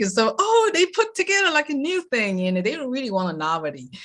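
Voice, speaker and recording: A woman's voice with a Taiwanese accent and very wide pitch swings. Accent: Taiwanese Mandarin-accented English. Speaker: lifestyle coach. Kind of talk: interview answer.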